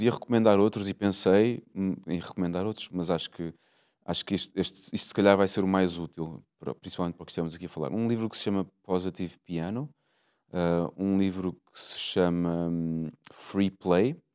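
A dark, mellow tone at a moderate pace, with ordinary pitch variation, big swings in loudness and a quiet background. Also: man. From Portugal, Lisbon. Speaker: jazz guitarist and music teacher; music teacher. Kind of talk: interview conversation. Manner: halting, with repetitions. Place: hall. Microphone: handheld.

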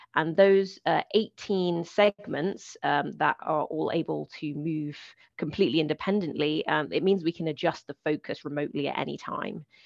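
Speaking at a moderate pace with hardly any pauses, a woman uses a very deep, low pitch with vocal fry and ordinary pitch variation, the sound dry with no echo over a quiet background. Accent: British. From United Kingdom. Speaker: planetary scientist. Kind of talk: lecture. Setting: video call.

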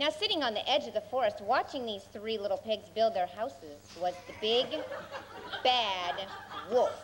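Noticeable background noise runs under a woman speaking at a moderate pace. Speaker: skit narrator. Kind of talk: storytelling narration. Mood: playful, comic. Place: stage.

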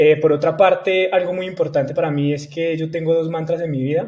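A man's voice, somewhat breathy, moves at a moderate pace. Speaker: guest. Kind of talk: interview answer. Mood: friendly, relaxed, smiling. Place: home room. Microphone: earbuds.

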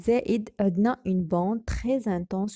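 In a very clean recording with a silent background and dry, close sound with no echo, a woman speaks at a moderate pace and medium pitch, somewhat breathy, with a dark, mellow tone and fairly even intonation. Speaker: chemistry teacher. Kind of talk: tutorial. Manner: halting.

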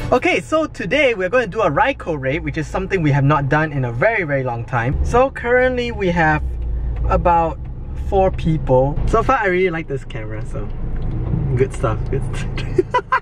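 A man speaks with music in the background, the sound dry with no echo. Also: moderate pace. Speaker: game vlogger. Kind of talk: casual vlog chat. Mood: cheerful, laughing. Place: car. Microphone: phone near.

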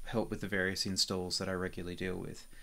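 This is a man talking. His voice carries vocal fry. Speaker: software developer. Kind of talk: tutorial. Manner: casual with frequent fillers.

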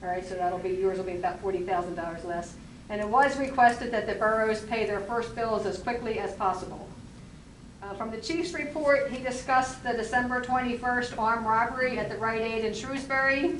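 Fairly high-pitched woman at a fairly quick pace, ordinary pitch variation, with noticeable background noise and audible room echo. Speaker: borough council member. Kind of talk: council meeting report. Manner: loud.

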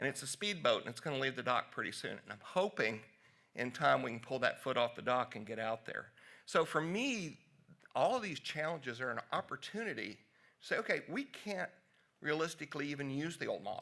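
A man with a Southern US accent speaks at a fairly quick pace with a fairly high pitch. His tone is bright and sharp, his intonation lively, and the background quiet. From US South, Tennessee. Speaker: physician; presenter. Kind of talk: conference talk. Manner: casual. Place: hall.

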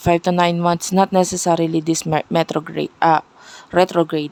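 A woman speaks with a fairly low pitch. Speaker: tarot reader. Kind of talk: tarot reading video. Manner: loud.

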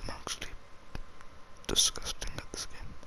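The man's delivery keeps to a moderate pace. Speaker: ASMR gaming YouTuber. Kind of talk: casual talk to camera while gaming. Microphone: studio mic.

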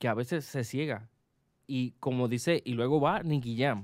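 Against a quiet background, the man's words come at a fairly slow pace. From Puerto Rico. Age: 20s. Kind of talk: casual chat. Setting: studio. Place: studio. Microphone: studio mic.

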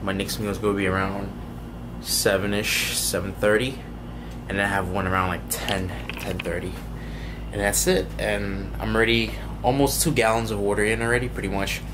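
Noticeable background noise sits under a man speaking at a moderate pace. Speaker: fitness competitor vlogger. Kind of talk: casual vlog chat. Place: home room. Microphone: phone near.

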